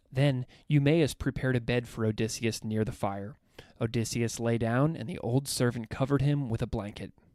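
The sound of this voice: Reading done in an unforced voice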